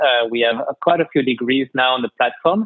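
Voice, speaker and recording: A man with a French accent and ordinary pitch variation. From France. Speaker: head of strategy and operations. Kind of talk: podcast interview. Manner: halting, many fillers.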